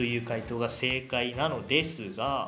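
Noticeable background noise and audible room echo surround the man as he talks. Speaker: podcast host, psychology student. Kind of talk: casual chat; quiz hosting. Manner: animated.

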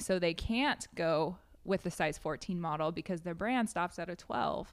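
On a very clean recording with a silent background, a woman with an American accent speaks in a normal speaking voice at a fairly slow pace, with a fairly low pitch and ordinary pitch variation. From Wyoming and Washington State, US. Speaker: modeling agency founder and CEO. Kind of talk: casual interview. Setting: in person, downtown.

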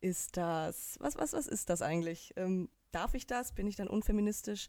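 Her dark, mellow voice sits at a medium pitch, and the woman talks at a moderate pace with ordinary pitch variation. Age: 30s. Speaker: podcast co-host. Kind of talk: casual chat. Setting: video call.

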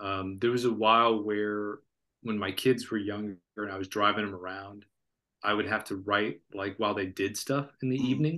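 A man's fairly low, bright, sharp voice with an American accent, fairly even intonation and a fairly quick pace, over a quiet background. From Florida. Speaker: author. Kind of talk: interview.

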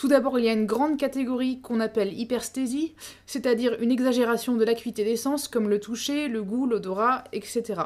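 Her voice is an ordinary speaking voice, as this woman talks at a fairly quick pace with a fairly high pitch and fairly even intonation. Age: 30s. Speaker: podcast host. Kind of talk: solo educational podcast.

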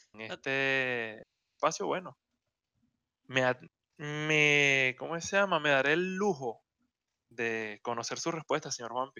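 The speech is very slow, with long, frequent pauses and a Venezuelan accent. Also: man, fairly high pitch for a man, ordinary pitch variation. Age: 20s. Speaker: podcast co-host. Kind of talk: casual chat.

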